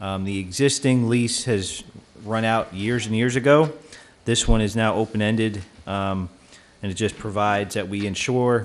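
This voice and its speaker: At a moderate pace, a man with a fairly low pitch and fairly even intonation uses an ordinary speaking voice. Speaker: town official giving a report. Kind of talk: council meeting discussion. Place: hall. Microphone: podium.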